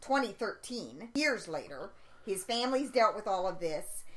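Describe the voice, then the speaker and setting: A woman at a fairly slow pace, her pitch swinging very widely, with noticeable background noise. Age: 50s. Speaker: podcast co-host, conspiracy researcher. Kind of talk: casual chat.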